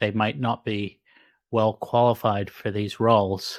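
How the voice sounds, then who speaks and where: A man talks at a moderate pace in an Australian accent, his pitch fairly low. The recording is very clean, with a silent background. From Sydney, Australia. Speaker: podcast host, physician. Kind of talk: interview.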